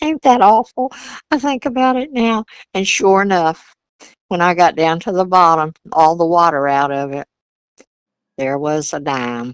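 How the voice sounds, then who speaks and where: A woman with a Virginia accent, fairly low in pitch, at a moderate pace with very wide pitch swings and long, frequent pauses. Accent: Southern US, Virginia. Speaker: grandmother. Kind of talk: interview storytelling. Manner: folksy, conversational.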